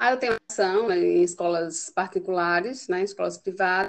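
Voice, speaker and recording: Here a woman talks at a fairly slow pace with a medium pitch. The sound is dry and close, with no echo. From Northeast Brazil, Pernambuco. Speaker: teacher. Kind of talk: interview.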